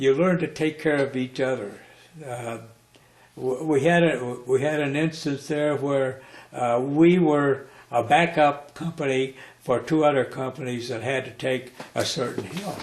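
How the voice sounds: A man with a medium pitch speaks in an American accent at a fairly slow pace. His pitch varies in an ordinary way, and audible room echo surrounds him.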